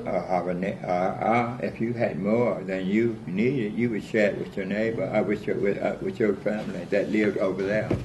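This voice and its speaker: Over music in the background, a man with a fairly low pitch speaks at a moderate pace with hardly any pauses and fairly even intonation. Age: 80s+. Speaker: family elder, grew up on a farm. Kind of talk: interview answer.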